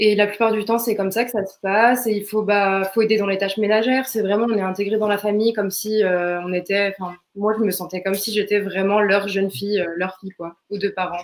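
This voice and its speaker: A woman speaks fairly quickly at a medium pitch, her intonation monotone and flat. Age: 20s. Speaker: student, former au pair. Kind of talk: interview testimony. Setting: live online broadcast. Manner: hesitant, many fillers.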